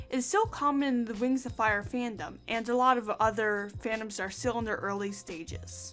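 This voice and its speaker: With music in the background, a woman with a fairly high pitch speaks at a moderate pace and ordinary pitch variation. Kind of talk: scripted video essay narration.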